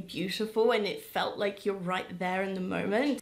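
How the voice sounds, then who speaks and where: This woman talks at a moderate pace. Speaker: book reviewer. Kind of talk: casual vlog chat. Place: home room.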